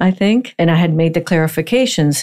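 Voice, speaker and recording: A woman speaks in an unremarkable speaking voice, pitched fairly low. She talks at a moderate pace. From Miami, Florida (born in Puerto Rico to Cuban parents). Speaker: bankruptcy and litigation attorney. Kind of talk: interview.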